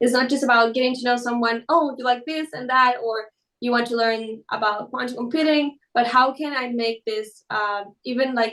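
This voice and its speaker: A woman with a high voice talks in a fairly even intonation, with hardly any pauses. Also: moderate pace. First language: Spanish. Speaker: quantum computing educator. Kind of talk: interview.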